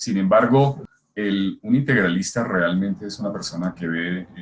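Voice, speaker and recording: Very deep and low, a man's voice moves at a fairly slow pace with ordinary pitch variation. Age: 60s. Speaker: scholar of integral thought. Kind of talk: casual conversation. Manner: halting.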